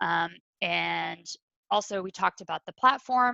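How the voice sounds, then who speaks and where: Bright and sharp, a woman's voice comes through in a dry, close sound with no echo. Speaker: community event organizer. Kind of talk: online orientation presentation. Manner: fast.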